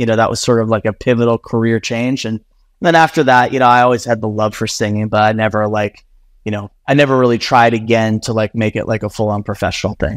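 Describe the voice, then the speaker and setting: In an unremarkable speaking voice with fairly even intonation, a man is recorded with a dry, close sound and no echo. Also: medium pitch for a man. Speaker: communications executive at influencer marketing firm. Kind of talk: casual interview chat.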